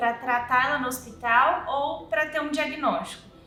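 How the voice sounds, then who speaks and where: A woman at a fairly slow pace with ordinary pitch variation, amid audible room echo and noticeable background noise. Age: 20s. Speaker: mother of a child with a rare syndrome. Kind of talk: personal testimony.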